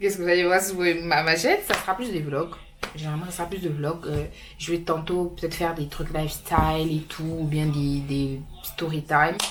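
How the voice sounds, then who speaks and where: Fairly low-pitched woman with fairly even intonation, amid noticeable background noise and audible room echo. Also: moderate pace. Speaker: vlogger. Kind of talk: casual vlog talk to camera.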